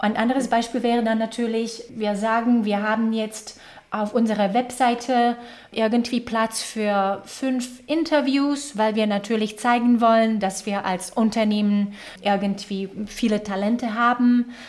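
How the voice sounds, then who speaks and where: This woman speaks with a slight Slovak accent. Her pace is fairly slow and her intonation fairly even. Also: fairly high pitch for a woman. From Slovakia. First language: Slovak (speaking German). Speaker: HR executive. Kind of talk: interview. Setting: video call.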